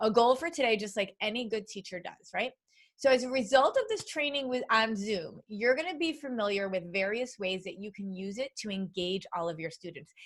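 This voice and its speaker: Bright and sharp in tone, a woman talks in an animated way at a fairly quick pace with very wide pitch swings. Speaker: education consultant and teacher trainer. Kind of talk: live webinar training. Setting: video call. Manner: fast.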